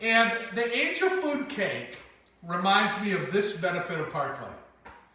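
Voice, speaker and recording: A man speaks very slowly in a raised, projected voice with an American accent, his pitch high for a man and his intonation lively. Audible room echo and noticeable background noise surround him. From US. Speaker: direct sales speaker. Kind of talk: motivational presentation.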